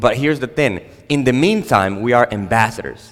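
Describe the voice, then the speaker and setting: A man talks with a Spanish accent. His pitch varies in an ordinary way. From Dominican Republic. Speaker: pastor. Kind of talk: sermon. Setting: church stage with audience. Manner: halting.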